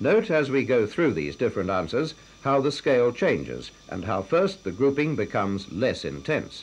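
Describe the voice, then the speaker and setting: Using vocal fry, a man at a medium pitch talks at a moderate pace with very wide pitch swings. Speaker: film narrator. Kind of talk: scripted educational film narration. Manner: formal, measured, authoritative.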